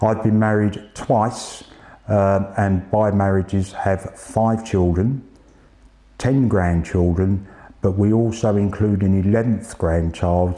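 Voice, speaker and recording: A man with a very deep, low pitch and a dark, mellow tone, fairly even intonation at a fairly slow pace, over a quiet background. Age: 60s. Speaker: cancer patient. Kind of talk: testimony.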